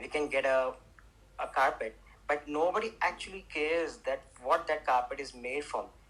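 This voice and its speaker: An Indian accent comes through. The speech moves at a moderate pace. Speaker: entrepreneur selling handmade carpets. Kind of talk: casual group chat on audio stage. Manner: halting, many fillers and restarts.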